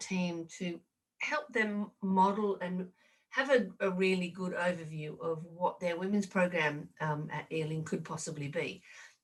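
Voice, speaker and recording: Bright and sharp in tone, this voice carries an Australian accent and ordinary pitch variation. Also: woman. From Australia, rural New South Wales. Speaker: rugby administrator and leadership consultant. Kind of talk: podcast interview. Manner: halting.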